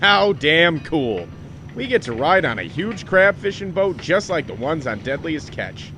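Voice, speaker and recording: A man's gruff put-on character voice, fairly high in pitch, at a moderate pace over clear background noise. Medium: audio drama.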